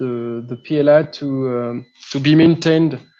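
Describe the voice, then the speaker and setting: A man with a French accent talks at a very slow pace in a fairly high, dark and mellow voice. His intonation stays monotone and flat. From France. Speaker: 3D printing hobbyist. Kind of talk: technical explanation on a live show. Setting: live video stream. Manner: halting, many fillers and repeats.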